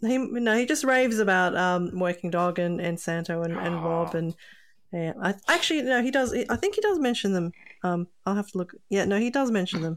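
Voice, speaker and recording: A woman with an Australian accent and lively intonation. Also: medium pitch for a woman, fairly quick pace. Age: 40s. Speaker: podcast co-host. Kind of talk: casual chat.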